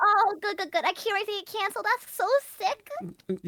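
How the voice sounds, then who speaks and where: Squeaky and extremely high-pitched, a woman projects a raised voice with a bright, sharp tone at a moderate pace, ordinary pitch variation and a dry, close sound with no echo. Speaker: VTuber streamer. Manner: playful, hesitant with fillers.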